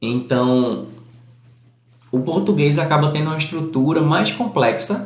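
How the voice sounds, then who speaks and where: A man with a fairly high pitch and lively intonation speaks at a fairly slow pace, with long, frequent pauses and audible room echo. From Northeast Brazil. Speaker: English teacher. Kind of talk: live stream chat. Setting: live stream. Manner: aiming for neutral journalistic diction.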